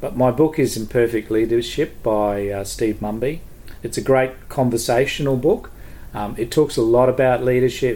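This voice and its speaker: Speaking with an Australian accent, a man has a medium pitch and a dark, mellow tone. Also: fairly even intonation, moderate pace. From Queensland, Australia (Townsville). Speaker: education administrator, former teacher. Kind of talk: casual chat.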